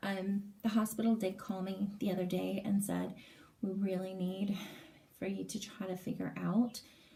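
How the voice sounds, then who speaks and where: At a fairly slow pace, a woman with a medium pitch and a dark, mellow, somewhat breathy tone speaks in a monotone, flat intonation. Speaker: vlogger. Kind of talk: casual vlog update. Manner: hesitant, many fillers.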